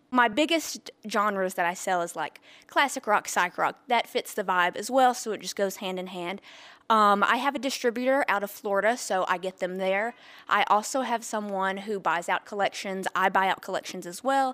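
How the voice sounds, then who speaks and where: At a moderate pace, a woman talks in an unremarkable speaking voice of medium pitch with ordinary pitch variation. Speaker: record store owner. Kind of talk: interview. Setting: in her shop.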